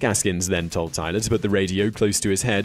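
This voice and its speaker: Music plays underneath speech delivered fairly quickly. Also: man. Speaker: online video host. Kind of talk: factual list narration.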